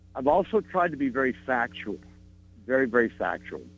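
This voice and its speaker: With music in the background, a man speaks at a fairly slow pace, his pitch swinging very widely. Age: 70s. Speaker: caller, schoolteacher. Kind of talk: radio call-in.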